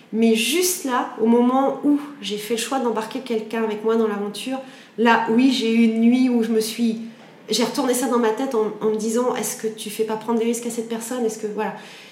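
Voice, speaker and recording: Amid noticeable background noise and audible room echo, a woman talks at a fairly quick pace with a fairly high pitch and fairly even intonation. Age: 40s. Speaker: entrepreneur. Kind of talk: interview conversation. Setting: her office. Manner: hesitant, many fillers.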